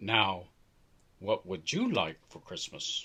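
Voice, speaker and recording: A put-on character voice from a man, raspy and fairly low-pitched, at a fairly slow pace. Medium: read story.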